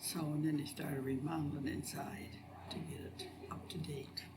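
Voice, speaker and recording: In a room with audible echo and noticeable background noise, a woman with an American accent and a very deep, low pitch speaks at a moderate pace. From northwest Ohio, US Midwest. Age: 70s. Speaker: local resident sharing memories. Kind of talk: oral history interview.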